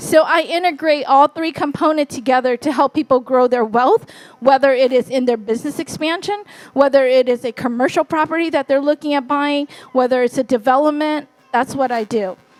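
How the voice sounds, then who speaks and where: With a Californian accent and a high pitch, a woman talks at a fairly quick pace with ordinary pitch variation, her dry, close sound having no echo despite noticeable background noise. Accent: Californian American English. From US, Fresno, California, Hmong American community. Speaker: real estate investor and wealth strategist. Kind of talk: conference talk. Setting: stage with audience.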